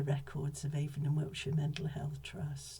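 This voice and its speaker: A woman with a very deep, low pitch and a dark, mellow tone talks at a fairly quick pace with vocal fry. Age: 70s. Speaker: whistleblower, former mental health professional. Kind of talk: personal testimony.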